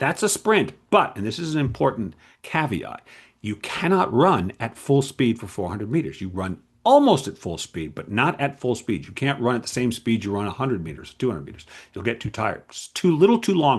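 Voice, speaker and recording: Against a quiet background, a man talks fairly quickly in a medium pitch with vocal fry, very wide pitch swings and big swings in loudness. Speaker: game writer and creativity coach. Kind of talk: casual solo talk to camera. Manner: fast; animated.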